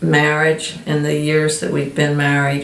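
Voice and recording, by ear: A woman speaks with vocal fry at a low pitch, with audible room echo.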